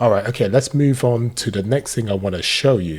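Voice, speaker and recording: A man with a British accent speaks at a moderate pace. His voice is somewhat breathy, with lively intonation. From Britain. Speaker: tech YouTuber reviewing AI tools. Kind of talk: software tutorial.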